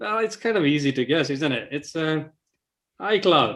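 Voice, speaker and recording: A man's fairly high pitch with lively intonation. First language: not English. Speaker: quiz co-host. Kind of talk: live quiz hosting.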